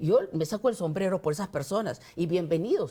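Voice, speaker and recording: A woman with a dark, mellow tone, medium pitch and lively intonation, at a fairly quick pace. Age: 60s. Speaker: congressional candidate. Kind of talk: interview.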